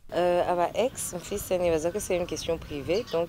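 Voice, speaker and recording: A woman talks with a dark, mellow tone. Her pitch is fairly low and her pace fairly slow. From Burundi. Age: 20s. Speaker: singer and student. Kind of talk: interview.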